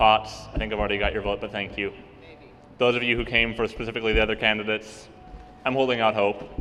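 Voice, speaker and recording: A man at medium pitch, very fast pace and fairly even intonation, over noticeable background noise. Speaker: student government candidate. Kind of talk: campaign speech. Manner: loud.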